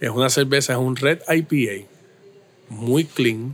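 A man talks at a very slow pace, his medium-pitched voice carrying fairly even intonation. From Puerto Rico, Caguas. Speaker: brewery owner. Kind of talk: casual interview.

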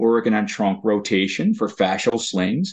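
A man speaks in a plain, everyday voice at a medium pitch. His pitch varies in an ordinary way. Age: 50s. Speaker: occupational therapist. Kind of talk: interview.

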